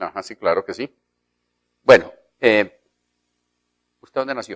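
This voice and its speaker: A man speaks at a fairly slow pace with big swings in loudness, the sound dry and close with no echo. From Colombia, Quindío. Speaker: TV interviewer. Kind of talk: TV interview. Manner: formal.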